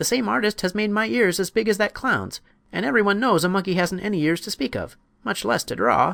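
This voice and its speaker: In a put-on character voice, a man speaks high-pitched, raised and projected, at a fairly quick pace. The recording is very clean, with a silent background. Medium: read story. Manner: chattering, cheeky.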